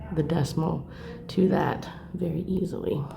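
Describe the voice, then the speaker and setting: A woman is speaking. Room echo is audible, and there is noticeable background noise. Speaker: math instructor. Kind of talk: tutorial; casual chat. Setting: rented library room. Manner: soft-spoken.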